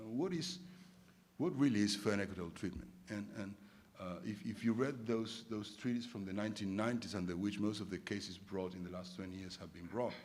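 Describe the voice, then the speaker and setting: Amid audible room echo, a man talks quickly enough at a fairly low pitch. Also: ordinary pitch variation. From Argentina. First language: Spanish. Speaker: arbitration lawyer, conference debater. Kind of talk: formal debate speech. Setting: conference stage with audience. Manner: many repetitions and filler words.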